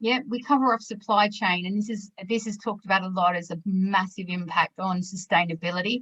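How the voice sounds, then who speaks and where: A woman with an Australian accent, medium in pitch, at a fairly quick pace with fairly even intonation. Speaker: webinar presenter, sustainability consultant. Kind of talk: business webinar presentation.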